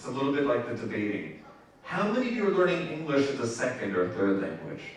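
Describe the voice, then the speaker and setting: Speaking at a very fast pace in a Spanish accent, a man makes very wide pitch swings amid audible room echo and noticeable background noise. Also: medium pitch for a man. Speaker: event host. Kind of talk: instructions to audience.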